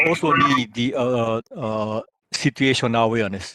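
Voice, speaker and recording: The pace of this man's speech is very slow. His pitch varies in an ordinary way. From Japan. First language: Japanese. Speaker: researcher and former naval officer. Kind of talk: lecture. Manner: halting, many filler sounds.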